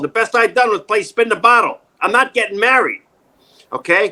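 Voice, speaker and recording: A man with a New York accent speaks at a moderate pace in a raised, projected voice. His pitch is high and his tone bright and sharp. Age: 60s. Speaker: actor, acting coach and former stand-up comedian. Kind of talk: casual interview. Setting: video call. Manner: animated, joking.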